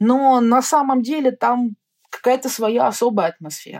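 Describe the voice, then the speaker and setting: A woman's dark, mellow tone carries ordinary pitch variation. The sound is dry and close, with no echo. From Russia. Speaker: orientalist and travel author. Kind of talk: interview. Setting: remote call.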